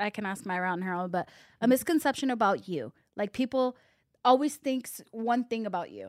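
A woman's normal speaking voice, fairly high and fairly quick, with lively intonation, a dry, close sound with no echo, and a very clean recording with a silent background. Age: 20s. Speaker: podcast host. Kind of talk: casual interview chat.

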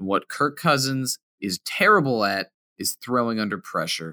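Here a man speaks at a medium pitch with a bright, sharp tone. The sound is dry and close, with no echo. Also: very clean recording, silent background. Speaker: fantasy football podcast co-host. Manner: jokey, self-deprecating.

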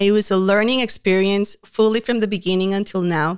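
Here a woman at medium pitch speaks in a Colombian accent at a moderate pace. The recording is very clean, with a silent background. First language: Spanish. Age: 30s. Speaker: homeschool speaker and organization founder. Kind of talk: casual interview chat. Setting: studio.

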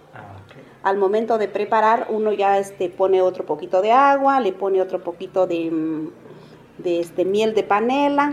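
A woman's medium-pitched voice carries ordinary pitch variation against noticeable background noise. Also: moderate pace, big swings in loudness. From Zacatepec, Oaxaca, Mexico. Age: 50s. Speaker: traditional drink maker and vendor. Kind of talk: interview, explaining a recipe. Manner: halting.

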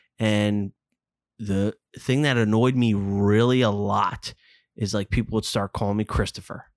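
Against a silent background in a very clean, dry, close recording with no echo, a man with a Philadelphia accent talks at a fairly slow pace in a fairly low, monotone pitch with very even loudness. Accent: Philadelphia area. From suburban Philadelphia. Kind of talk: casual chat.

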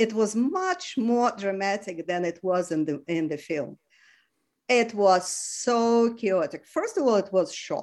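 In a Russian accent, a woman speaks at a fairly slow pace with a medium pitch and lively intonation. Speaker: retired geographer and former peace activist. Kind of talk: interview storytelling. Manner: halting.

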